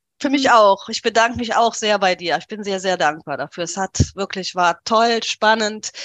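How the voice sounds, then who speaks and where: Big swings in loudness and ordinary pitch variation, in a dry, close sound with no echo and a quiet background. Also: woman, medium pitch for a woman, moderate pace. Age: 40s. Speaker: coaching client sharing weight-loss story. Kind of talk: interview, personal testimony.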